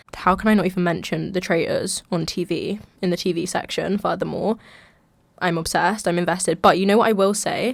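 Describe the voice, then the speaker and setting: Fairly quick speech comes from a woman in a London accent. Her pitch sits in the medium range. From London, England. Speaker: podcast host, university student. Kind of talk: casual chat. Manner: chatty, filler-heavy.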